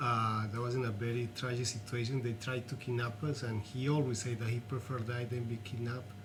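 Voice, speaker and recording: A man talks at a fairly quick pace with a Colombian accent. Room echo is audible. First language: Spanish. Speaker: artist and activist. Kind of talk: interview.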